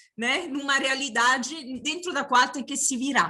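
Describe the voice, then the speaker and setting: A woman speaks in a bright, sharp tone. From outside Brazil. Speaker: university professor and union director. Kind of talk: panel opening remarks. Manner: halting, many fillers.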